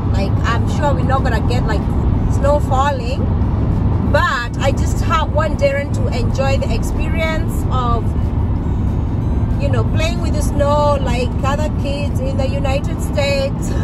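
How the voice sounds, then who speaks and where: The speech moves at a fairly slow pace with long, frequent pauses. Music plays in the background, and the sound is dry with no echo. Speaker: road trip vlogger. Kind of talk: casual vlog chat. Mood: cheerful, excited. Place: car. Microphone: phone near.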